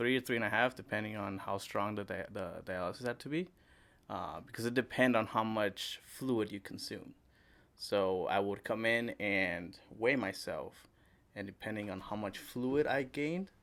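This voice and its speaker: A man with an ordinary speaking voice, medium pitch, ordinary pitch variation and a moderate pace, in a very clean recording over a silent background. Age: 20s. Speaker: kidney failure survivor. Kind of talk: casual interview. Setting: podcast recording.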